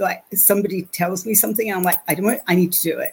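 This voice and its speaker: A woman with an American accent speaks in a medium-pitched, somewhat breathy voice. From London, England. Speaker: channeler and energy healer. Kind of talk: interview, conversational storytelling.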